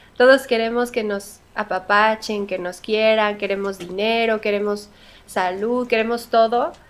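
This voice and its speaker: A woman with a normal speaking voice talks at a fairly slow pace and a fairly high pitch, with fairly even intonation, in a very clean recording with a silent background. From Mexico. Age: 30s. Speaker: singer. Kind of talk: interview.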